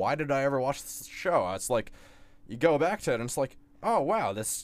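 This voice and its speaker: A fairly high-pitched male voice with lively intonation, an ordinary speaking voice. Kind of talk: casual chat. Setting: studio.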